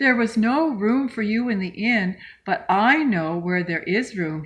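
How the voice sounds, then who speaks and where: Using a put-on character voice, a woman sounds squeaky and fairly high-pitched. She speaks fairly slowly. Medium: read story.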